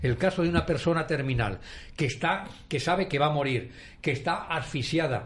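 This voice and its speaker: A man at a moderate pace, ordinary pitch variation and audible room echo. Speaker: panelist, retired civil servant. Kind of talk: talk radio debate.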